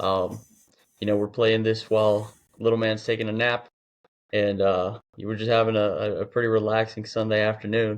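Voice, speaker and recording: This man has a fairly low pitch and an American accent. He talks at a moderate pace in a flat, monotone way. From US. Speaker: athlete and fitness coach. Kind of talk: podcast interview. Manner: casual, filler-heavy.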